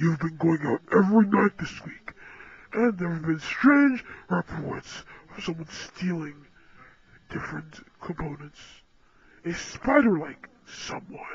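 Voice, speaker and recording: A put-on character voice at middle pitch moves at a fairly slow pace, with long, frequent pauses. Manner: cold, threatening, commanding.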